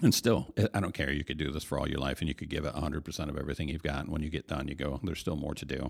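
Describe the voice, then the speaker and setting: A very fast man with an American accent, very deep and low in pitch, with vocal fry, ordinary pitch variation and hardly any pauses. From US Midwest, Michigan. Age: 50s. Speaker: pastor. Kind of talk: casual chat.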